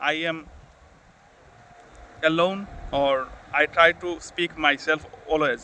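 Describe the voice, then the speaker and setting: A man talks with a non-native accent. His voice sits fairly high in pitch. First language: Bengali. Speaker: YouTuber, English learner. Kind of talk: motivational vlog. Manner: halting, self-correcting.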